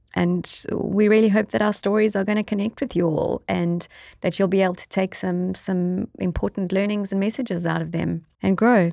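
Speaking at a moderate pace with hardly any pauses, a woman with a South African accent has a dark, mellow tone, medium pitch and fairly even intonation, recorded with a dry, close sound and no echo. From South Africa (Eastern Cape, near East London). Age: 40s. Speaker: podcast co-host and entrepreneur. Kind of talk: casual chat. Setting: studio.

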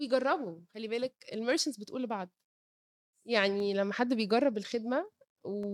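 A dark, mellow tone at a moderate pace with ordinary pitch variation, dry and close with no echo. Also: woman. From Egypt, Cairo. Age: 30s. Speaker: startup co-founder. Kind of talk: interview.

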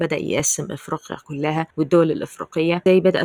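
A woman's very deep, low voice with a dry, close sound and no echo. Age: 20s. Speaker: podcast host. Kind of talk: solo commentary podcast.

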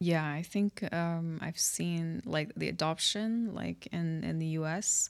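Very slowly, a woman speaks. The recording is very clean, with a silent background. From UK, with childhood abroad. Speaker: blockchain and real estate professional. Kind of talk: interview. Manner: hesitant, many fillers.

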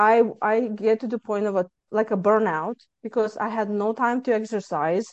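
In a Lithuanian accent, a woman speaks at a fairly high pitch with fairly even intonation. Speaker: author and stress management coach. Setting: video call from Texas.

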